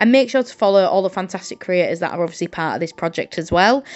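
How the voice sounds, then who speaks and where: Her northern English accent comes with lively intonation. The woman's pitch sits at a medium level. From northern England, Hull, Yorkshire. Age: 20s. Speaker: journaling content creator and English teacher. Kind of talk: casual craft vlog chat. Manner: hesitant, many ums and uhs.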